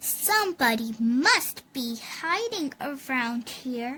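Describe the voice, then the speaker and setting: Putting on a character voice, a woman speaks very slowly in a high pitch with lively intonation. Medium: read story.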